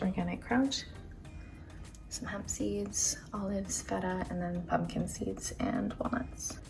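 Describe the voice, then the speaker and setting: The speaker goes at a fairly slow pace, with audible room echo and music playing in the background. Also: woman. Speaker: lifestyle vlogger. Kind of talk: casual vlog narration. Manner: hushed, trying to be quiet; casual, filler-heavy speech.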